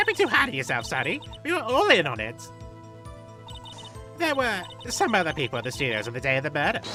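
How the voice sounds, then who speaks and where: In a put-on character voice, a man speaks at a very fast pace broken by long, frequent pauses, with clear music in the background. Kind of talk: comic overacting. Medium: game stream. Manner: chatty, scolding, self-righteous.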